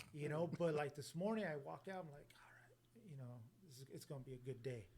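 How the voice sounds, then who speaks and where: Very fast and somewhat breathy, a fairly high-pitched man speaks with big swings in loudness. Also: ordinary pitch variation. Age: 40s. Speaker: podcast host. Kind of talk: casual chat. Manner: relaxed.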